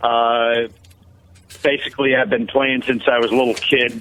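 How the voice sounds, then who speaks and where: Delivered at a moderate pace, this voice has a flat, monotone intonation and an American accent. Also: man. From northeastern Pennsylvania, near Scranton. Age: 60s. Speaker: singer-songwriter and guitarist. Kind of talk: interview. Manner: halting, many fillers.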